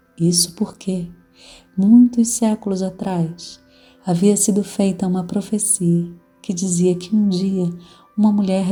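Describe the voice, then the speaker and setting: Music plays behind a woman speaking at a very slow pace. Her intonation is monotone and flat. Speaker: storyteller. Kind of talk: read folk tale.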